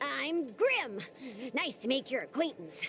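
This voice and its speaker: In a put-on character voice, the speaker keeps an upbeat tone at a fairly slow pace while clear background noise runs underneath. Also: female-sounding voice, high pitch for a woman. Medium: video game. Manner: folksy, upbeat.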